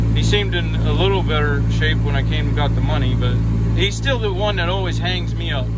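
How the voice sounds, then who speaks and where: Loud background noise sits under the speech. The pace is fairly quick, and the sound is dry with no echo. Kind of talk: casual vlog chat. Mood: wry, mildly annoyed storytelling. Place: car. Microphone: phone near.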